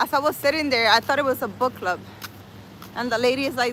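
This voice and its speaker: A woman with a non-native accent speaks in a high pitch and a bright, sharp tone. Her delivery sounds animated. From New York City. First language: not English. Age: 40s. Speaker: spiritual livestreamer. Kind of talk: casual livestream chat. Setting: outdoors.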